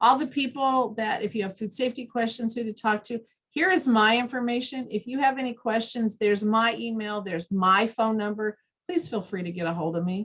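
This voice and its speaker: At a fairly quick pace, a woman with a fairly high pitch, ordinary pitch variation and an unremarkable speaking voice talks. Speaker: extension educator and dietitian. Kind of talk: training presentation.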